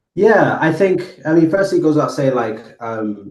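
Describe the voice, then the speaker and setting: With a Botswanan accent, a man at a medium pitch speaks with lively intonation. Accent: Botswanan accent noticeable in UK. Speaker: AI entrepreneur, former community worker. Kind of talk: podcast interview. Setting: podcast recording. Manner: hesitant, many fillers.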